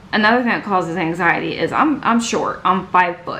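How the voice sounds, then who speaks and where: Amid audible room echo and noticeable background noise, a woman speaks with ordinary pitch variation. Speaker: YouTuber. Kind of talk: personal vlog monologue. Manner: halting.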